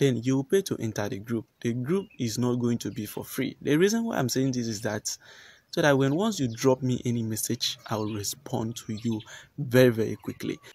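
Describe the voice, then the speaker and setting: Moderate pace and ordinary pitch variation, in a dry sound with no echo. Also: man. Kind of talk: casual vlog chat. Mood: earnest, persuasive. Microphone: phone near.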